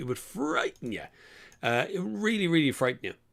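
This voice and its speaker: A man with an Irish accent, lively intonation and an animated tone, in a very clean recording with a silent background. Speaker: car chat show host. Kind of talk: live-stream casual chat. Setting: live stream.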